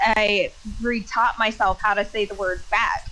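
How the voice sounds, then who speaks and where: Through noticeable background noise, a woman with an American accent speaks at a fairly slow pace and a fairly high pitch. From Minnesota, military upbringing. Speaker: streamer. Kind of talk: casual chat. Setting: live stream.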